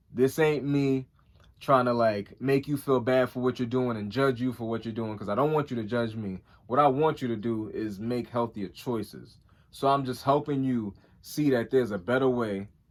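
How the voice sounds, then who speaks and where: This man talks at a moderate pace, his medium pitch held in fairly even intonation. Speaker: YouTuber. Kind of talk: vlog monologue.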